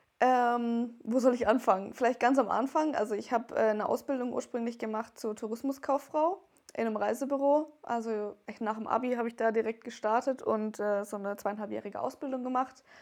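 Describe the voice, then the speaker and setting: A woman with a normal speaking voice, fairly high pitch, fairly even intonation and a fairly quick pace, over a quiet background. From Wertheim, northern Baden-Württemberg, Germany. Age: 20s. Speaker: make-up artist. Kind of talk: casual interview.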